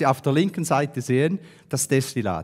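Against a quiet background, a man with a medium pitch speaks with lively intonation. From Switzerland, St. Gallen; Switzerland. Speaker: business consultant, speaker; conference speaker. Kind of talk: talk to an audience. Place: hall. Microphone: headset.

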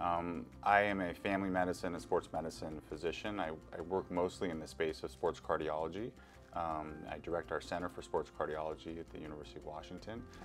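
A man talks at a very fast pace in a very deep, low voice, his loudness swinging widely and his pitch varying in an ordinary way, with clear music playing behind him. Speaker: guest. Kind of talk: interview answer. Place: studio. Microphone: lapel.

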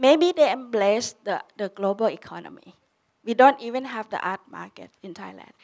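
Moderate pace and ordinary pitch variation, over a quiet background. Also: woman. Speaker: panelist. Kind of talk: panel discussion answer. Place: hall. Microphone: handheld.

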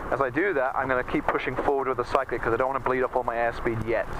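Delivered at a very fast pace, the speech has very even loudness and fairly even intonation, with a dry sound with no echo and noticeable background noise. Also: man. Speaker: flight instructor. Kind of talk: in-flight instruction. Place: plane. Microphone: headset.

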